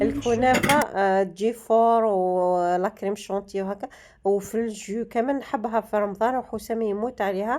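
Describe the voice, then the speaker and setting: A woman with an Algerian accent speaks at a fairly high pitch and a fairly slow pace. Her intonation is fairly even, with hardly any pauses. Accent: Algerian Arabic (Darija). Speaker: lifestyle vlogger. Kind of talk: casual vlog talk to viewers.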